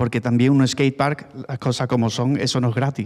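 A man speaks at a moderate pace over a quiet background. His pitch sits in the medium range. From Málaga, Spain; Spain. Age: 40s. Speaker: former BMX rider; speaker. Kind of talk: panel talk. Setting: stage with audience. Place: hall. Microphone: handheld.

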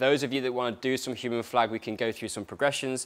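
A man delivers his words at a very fast pace. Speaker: fitness coach. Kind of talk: workshop instruction. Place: gym. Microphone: lapel.

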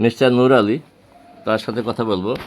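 This is a man with an unremarkable speaking voice. His intonation stays fairly even. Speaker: homeopathic practitioner, retired banker. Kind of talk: patient testimonial video, informal presentation.

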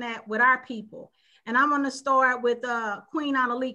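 Against a quiet background, a woman speaks at a high pitch in a raised, projected voice. Her tone is bright and sharp. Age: 50s. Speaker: panel show host. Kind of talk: panel discussion. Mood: earnest, thoughtful. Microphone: video call.

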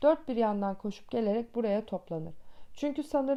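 Reading voice, unforced

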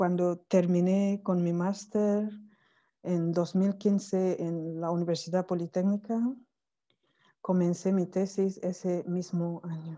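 A woman's dark, mellow tone, very slow and in monotone, flat intonation, against a quiet background. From Cameroon. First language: not Spanish (French or Cameroonian language) (speaking Spanish). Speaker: academic, PhD in languages. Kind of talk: online conference talk. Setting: video call from Cameroon. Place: home room. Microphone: earbuds.

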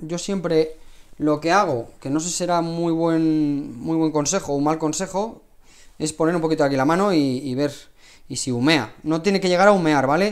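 A man speaks with a Spanish accent. The background is quiet. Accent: Peninsular Spanish. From Spain. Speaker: cooking channel host. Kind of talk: live cooking stream. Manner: casual, chatty. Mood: relaxed, friendly. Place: kitchen. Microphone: lapel.

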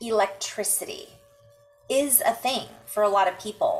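A woman speaks with faint music in the background. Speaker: intuitive healer vlogger. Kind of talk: casual vlog chat. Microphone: webcam.

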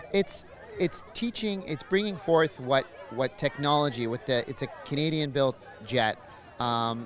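A man at a moderate pace, dry sound with no echo, light background noise behind him. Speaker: military demonstration pilot. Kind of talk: interview answer. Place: open country. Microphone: handheld.

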